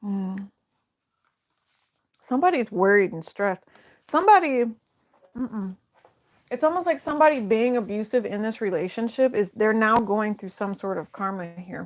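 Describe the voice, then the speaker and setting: At a moderate pace, a woman with a fairly high pitch uses lively intonation and big swings in loudness, with long, frequent pauses. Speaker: tarot reader. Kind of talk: tarot reading. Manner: casual.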